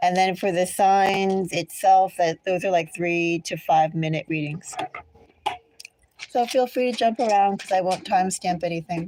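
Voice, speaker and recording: A woman speaks in a normal speaking voice at a moderate pace, with medium pitch and ordinary pitch variation. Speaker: tarot reader. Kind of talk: tarot reading. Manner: casual, rambling with fillers.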